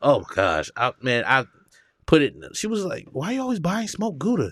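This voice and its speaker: A man with an American accent speaks at a high pitch and a fairly quick pace, with very wide pitch swings. The recording is very clean, with a silent background. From US South, Georgia. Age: 30s. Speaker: comedian. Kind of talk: casual chat.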